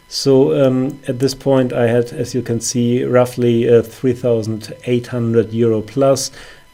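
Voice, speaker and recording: Noticeable background noise sits behind a man's medium-pitched voice. His intonation is monotone and flat, and his pace is fairly slow. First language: not English. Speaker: forex trader. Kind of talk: trading account review with chart walkthrough. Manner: hesitant, many fillers.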